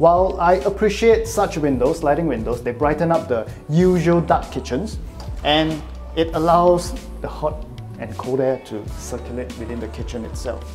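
Clear background music behind a man speaking at a moderate pace. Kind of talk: property tour commentary. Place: kitchen.

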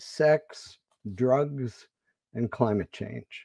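A man's dark, mellow tone at a very slow pace, dry with no echo, over a quiet background. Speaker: literary organization director. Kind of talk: formal introduction. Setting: video call. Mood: warm, formal. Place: home room. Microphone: earbuds.

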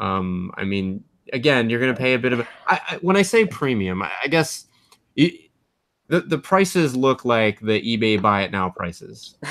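A man's voice makes very wide pitch swings at a moderate pace over a quiet background. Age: 30s. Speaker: podcast host. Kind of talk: casual chat. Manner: animated. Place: home room. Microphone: webcam.

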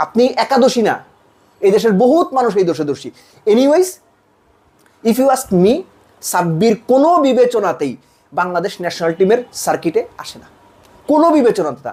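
This man's voice is high-pitched with a dark, mellow tone and very wide pitch swings. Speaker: cricket commentator. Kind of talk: opinion monologue. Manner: animated.

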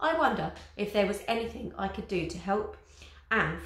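The voice is plain reading aloud, carried by lively intonation.

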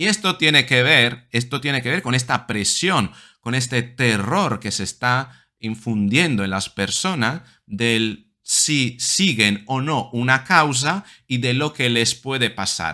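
A man speaks at a very slow pace with a bright, sharp tone and lively intonation against a quiet background. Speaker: psychologist video commentator. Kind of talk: angry rant. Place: home room. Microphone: webcam.

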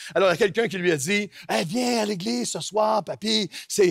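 A high-pitched man with a Quebec accent and lively intonation, his sound dry with no echo against a quiet background. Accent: Quebec French, noticeable. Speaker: pastor. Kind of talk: sermon. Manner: fast. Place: church. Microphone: headset.

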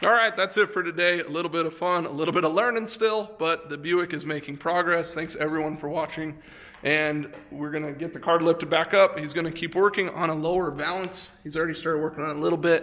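A man's high voice at a very fast pace, fairly even in intonation, with hardly any pauses. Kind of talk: casual vlog chat. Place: garage. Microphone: phone near.

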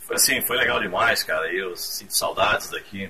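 At a moderate pace, a man speaks. Light background noise is present. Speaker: radio announcer, former radio host. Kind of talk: casual radio greeting message to former station and listeners. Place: studio. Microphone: camera far.

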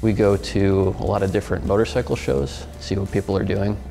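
Over clear music in the background, a man talks at a fairly low pitch with ordinary pitch variation. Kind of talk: interview answer. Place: studio.

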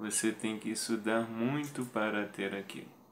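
A man's very slow speech, bright and sharp in tone, over light background noise. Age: 30s. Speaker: motivational video creator. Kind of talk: personal testimony monologue. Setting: video recorded to camera. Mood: earnest, motivational. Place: home room. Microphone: phone near.

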